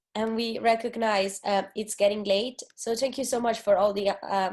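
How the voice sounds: Her pitch barely moves as this woman speaks with a slightly mellow tone.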